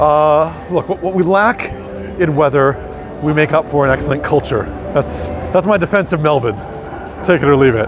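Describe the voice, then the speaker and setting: Against music in the background, a man with an American accent speaks at a fairly high pitch and moderate pace, with ordinary pitch variation, very even loudness, and long, frequent pauses. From US Midwest, Minnesota. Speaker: tour guide. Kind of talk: live-streamed walking tour. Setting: outdoors on city streets. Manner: casual, chatty with filler words.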